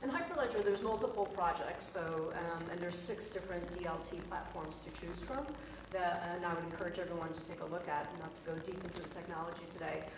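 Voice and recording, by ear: Over clear background noise, a woman talks fast in a fairly low voice. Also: fairly even intonation.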